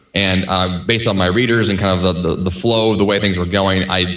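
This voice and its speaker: With a fairly low pitch and fairly even intonation, a man talks at a fairly quick pace. Noticeable background noise and audible room echo are present. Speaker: podcast host and author. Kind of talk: podcast interview. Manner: fast.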